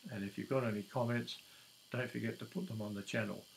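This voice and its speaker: The speaker is a man. His speech comes in an Australian accent. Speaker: YouTuber. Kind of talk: casual talk to camera. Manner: hesitant, many fillers.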